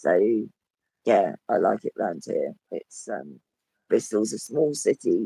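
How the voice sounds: A man puts on a croaky, hoarse, raspy character voice. He speaks at a fairly slow pace.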